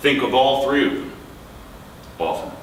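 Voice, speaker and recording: Noticeable background noise accompanies a man with a New York accent. He talks at a fairly slow pace. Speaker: poet. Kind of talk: poetry reading. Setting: live bookstore event.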